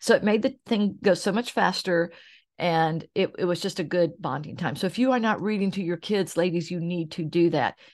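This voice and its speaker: An ordinary speaking voice with an American accent moves at a moderate pace with ordinary pitch variation. The background is quiet. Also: woman. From Oklahoma, US. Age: 60s. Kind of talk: solo podcast monologue. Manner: warm, conversational.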